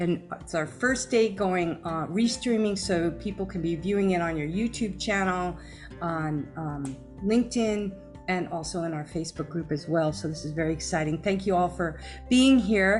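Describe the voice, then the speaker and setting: With music in the background, a woman speaks at a fairly low pitch. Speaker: podcast host. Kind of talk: interview host welcome, live-stream talk.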